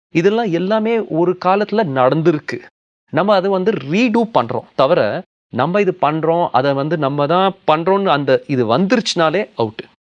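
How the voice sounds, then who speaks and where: With a Punjabi accent, a man speaks in a high pitch with lively intonation. His loudness stays very even. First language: Punjabi (speaking Tamil). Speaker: film and TV actor. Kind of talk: interview.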